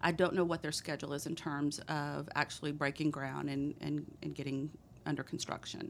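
This woman's voice sits very deep and low, with vocal fry. She has a Texan accent and a monotone, flat intonation. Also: moderate pace. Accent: Texan, noticeable. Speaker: economic development director. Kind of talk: casual interview.

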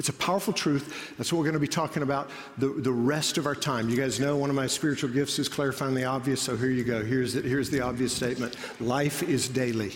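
With audible room echo, a man of medium pitch speaks very fast, his loudness very even and his intonation fairly even. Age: 30s. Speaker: pastor. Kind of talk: sermon. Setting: church auditorium.

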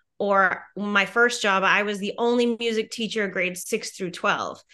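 Against a quiet background, a woman with an American accent and a bright, sharp tone speaks at a fairly slow pace with fairly even intonation. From US Midwest, Wisconsin (Merrill). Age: middle-aged. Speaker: music teacher. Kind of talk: casual chat.

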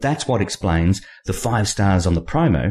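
A fairly low-pitched male voice, dark and mellow, somewhat breathy, with lively intonation at a fairly quick pace on a very clean recording with a silent background. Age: 50s. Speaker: novelist hosting own podcast. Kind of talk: monologue podcast.

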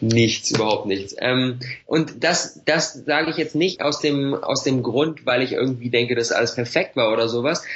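Noticeable background noise sits behind a man speaking at a moderate pace with very even loudness and ordinary pitch variation. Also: medium pitch for a man. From Berlin, Germany. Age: 20s. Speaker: online entrepreneur and YouTuber. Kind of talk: podcast interview. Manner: casual, filler-heavy.

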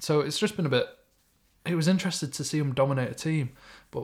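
In a very clean recording with a silent background, a fairly high-pitched, somewhat breathy man with a Manchester accent talks very fast, with ordinary pitch variation and long, frequent pauses. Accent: Greater Manchester English. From Stockport, Greater Manchester, England. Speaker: football podcast co-host. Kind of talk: casual chat.

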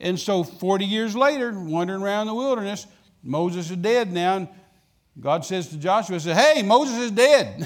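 Here a man speaks with a West Texas accent. His high pitch carries lively intonation. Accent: West Texas drawl. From West Texas, Midland. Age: 70s. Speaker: traveling evangelist. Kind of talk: sermon. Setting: church.

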